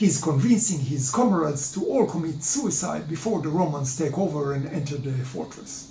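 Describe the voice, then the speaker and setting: There is noticeable background noise as a man talks with an Israeli accent. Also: ordinary pitch variation, moderate pace. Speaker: history presenter. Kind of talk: lecture. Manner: halting, many filler sounds.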